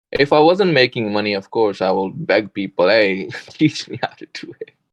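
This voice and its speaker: Male speaker with a non-native accent and lively intonation, at a moderate pace, in a dry, close sound with no echo. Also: medium pitch for a man. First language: not English. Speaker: day trader. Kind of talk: casual chat.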